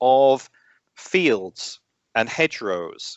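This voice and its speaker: The speaker has an English accent and lively intonation. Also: man. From England. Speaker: astronomy educator, former science teacher. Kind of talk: interview. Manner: halting, many fillers.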